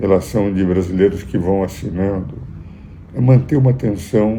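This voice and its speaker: Very deep, low male voice with ordinary pitch variation, in audible room echo. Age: 80s+. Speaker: jurist and commentator. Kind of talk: political commentary. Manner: formal.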